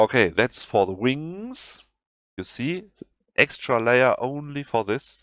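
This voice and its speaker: With a German accent, a man talks at a very slow pace and medium pitch with lively intonation, in a dry, close sound with no echo. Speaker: video game tutorial creator. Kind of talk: tutorial. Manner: halting.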